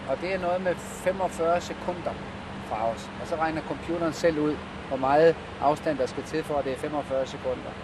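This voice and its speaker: Against noticeable background noise, a man talks at a fairly slow pace and fairly high pitch with fairly even intonation. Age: 50s. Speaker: airline pilot. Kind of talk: casual conversation while working. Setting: airliner cockpit in flight.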